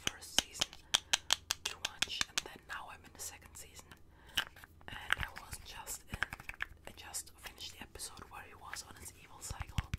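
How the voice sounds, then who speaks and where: The voice is whispering. It moves at a fairly quick pace. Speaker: virtual streamer. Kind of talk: casual stream chat with audience. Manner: soft, quiet ASMR-style speech.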